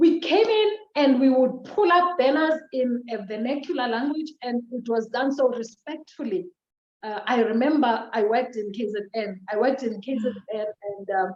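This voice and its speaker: With a South African accent, a woman speaks at a moderate pace, her high pitch carried by lively intonation. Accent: Xhosa. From South Africa, Eastern Cape. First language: Xhosa. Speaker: social worker. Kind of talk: interview.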